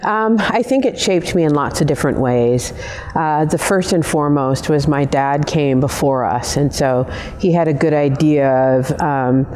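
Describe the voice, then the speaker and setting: Over noticeable background noise and audible room echo, a woman with a very deep, low pitch speaks at a moderate pace, keeping ordinary pitch variation and very even loudness. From Kenya. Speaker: customer experience executive. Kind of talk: interview. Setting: filmed on location at a football stadium.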